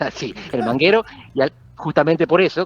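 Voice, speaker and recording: A man's voice with lively intonation, dry and close with no echo. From Argentina. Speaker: political scientist. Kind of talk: interview.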